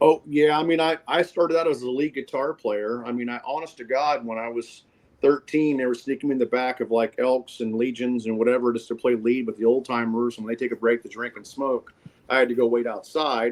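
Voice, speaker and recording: The speaker talks at a fairly quick pace with an American accent and ordinary pitch variation. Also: man, medium pitch for a man. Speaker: singer-songwriter and guitarist. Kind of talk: casual interview chat. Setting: phone call.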